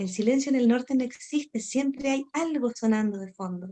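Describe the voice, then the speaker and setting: This woman talks at a moderate pace with a high pitch and lively intonation. Her tone is dark and mellow. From northern Chile. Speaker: storyteller. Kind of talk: interview.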